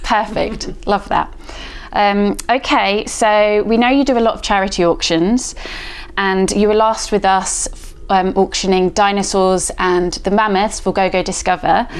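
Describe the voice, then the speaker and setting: At a fairly slow pace, a woman speaks at medium pitch in an unremarkable speaking voice. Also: fairly even intonation, very even loudness. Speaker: charity staff interviewer. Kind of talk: interview questions.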